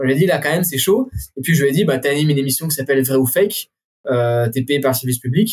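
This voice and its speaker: Here a man talks at a very fast pace in a somewhat breathy voice. His pitch is fairly high, with ordinary pitch variation. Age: 20s. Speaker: urban climber. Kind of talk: casual interview.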